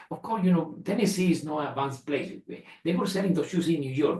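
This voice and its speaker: Speaking at a very fast pace, a man with a Spanish accent uses ordinary pitch variation. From Spain. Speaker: retired engineer and entrepreneur. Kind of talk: family interview. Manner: halting, many repetitions.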